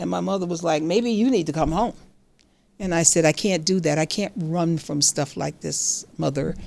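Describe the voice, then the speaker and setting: Vocal fry runs through this voice at a moderate pace. Its pitch varies in an ordinary way. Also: woman. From Catskills, New York. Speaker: retired judge. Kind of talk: casual storytelling talk to camera.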